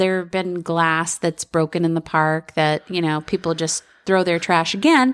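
In an unremarkable speaking voice, a woman with a fairly low pitch talks at a fairly slow pace, the sound dry and close with no echo on a very clean recording with a silent background. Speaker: podcast co-host.

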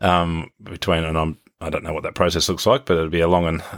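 A man with an Australian accent, a very deep, low pitch and a fairly quick pace, on a very clean recording with a silent background. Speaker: podcast host and agribusiness CEO. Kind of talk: casual interview. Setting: on location at a farm in New Zealand.

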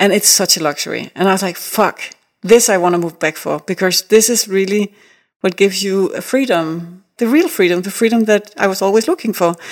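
Woman with a Danish accent at a medium pitch, fairly quick pace, and a very clean recording with a silent background. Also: ordinary pitch variation. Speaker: artist. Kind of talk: interview. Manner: animated.

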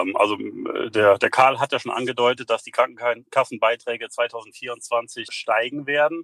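A man's bright, sharp voice with fairly even intonation and big swings in loudness, in a dry, close sound with no echo. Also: medium pitch for a man, moderate pace. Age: 40s. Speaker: fitness studio and physiotherapy practice owner. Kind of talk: interview. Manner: hesitant with fillers.

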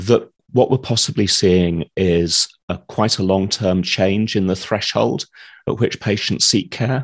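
Fairly low in pitch, this man has an unremarkable speaking voice with ordinary pitch variation. His pace is fairly slow. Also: quiet background. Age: 50s. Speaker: healthcare data analyst. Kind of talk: interview.

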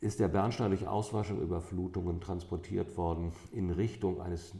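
With hardly any pauses, a man speaks in a very deep, low pitch, his tone dark and mellow and somewhat breathy. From northern Germany, St. Peter-Ording (North Sea coast). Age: 50s. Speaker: amber expert and shop owner. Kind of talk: interview. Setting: in a shop.

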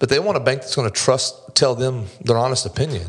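Very fast and somewhat breathy, a man talks with a North Carolina accent. The recording is very clean, with a silent background. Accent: US Southern (North Carolina). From North Carolina, Mocksville. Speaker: commercial loan officer, former police officer. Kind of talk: casual interview. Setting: studio.

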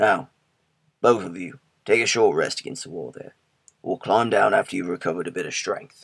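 A man speaks in a put-on character voice at a fairly quick pace. He leaves long, frequent pauses. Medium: read story. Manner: firm, steady.

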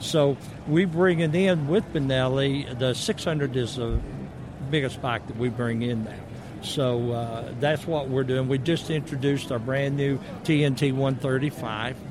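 Through noticeable background noise, a man in a Southern US accent speaks at a medium pitch and moderate pace with ordinary pitch variation. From US South. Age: 60s. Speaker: motorcycle company representative. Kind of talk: booth interview. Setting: expo booth.

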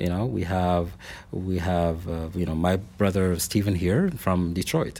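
A man with a Middle Eastern accent, very deep and low in pitch, dark and mellow in tone, fairly slow and fairly even in intonation. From Lebanon. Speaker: city diversity director. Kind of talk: interview conversation. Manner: halting, with many filler words.

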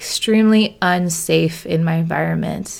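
A woman with a West Coast accent at a fairly slow pace. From rural Oregon. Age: 30s. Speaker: podcast host, social worker and coach. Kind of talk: solo monologue, personal story. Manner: animated.

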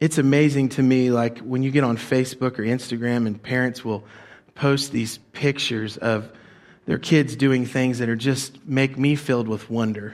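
At a moderate pace, a man talks in an ordinary speaking voice with a medium pitch and fairly even intonation. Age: 40s. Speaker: pastor. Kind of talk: sermon. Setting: church.

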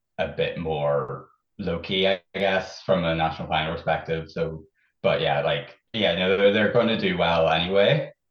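A man talks at a fairly slow pace. He speaks with a Northern Irish accent. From Northern Ireland, County Fermanagh. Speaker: Eurovision superfan. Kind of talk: casual chat. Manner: halting.

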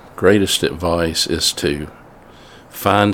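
In a Mississippi accent, a man speaks at a very deep, low pitch. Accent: Southern US (Mississippi). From US South, north Mississippi. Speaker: church men's ministry director. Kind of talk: interview.

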